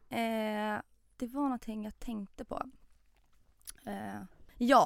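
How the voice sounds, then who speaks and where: A woman's very slow speech, fairly high in pitch, with ordinary pitch variation. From Stockholm, Hägersten. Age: 20s. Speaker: podcast guest. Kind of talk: casual chat.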